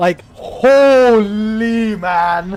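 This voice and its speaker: A man speaks with a German accent at a high pitch. His intonation is lively. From Germany. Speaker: video game streamer. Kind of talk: live gameplay commentary. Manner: casual, filler-heavy.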